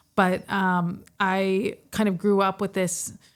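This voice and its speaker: A woman speaks in an American accent with monotone, flat intonation. The recording is very clean, with a silent background. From Texas. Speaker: podcast co-host. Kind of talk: casual chat.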